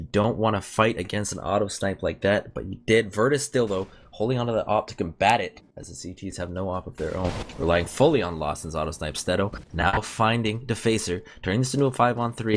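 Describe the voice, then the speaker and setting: With a slight Canadian accent, a man talks at a fairly quick pace in a fairly low pitch with ordinary pitch variation and big swings in loudness, music in the background. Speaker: esports commentator. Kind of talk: live commentary; casual sign-off. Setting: live stream. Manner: fast.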